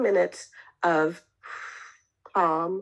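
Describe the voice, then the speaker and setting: A woman's voice with vocal fry. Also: quiet background. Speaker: marriage and family therapist. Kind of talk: online talk. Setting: online session.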